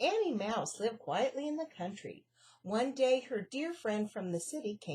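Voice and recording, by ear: Lively intonation in natural-voiced reading aloud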